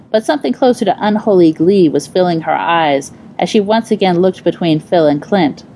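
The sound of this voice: An unforced reading voice carries ordinary pitch variation from start to finish.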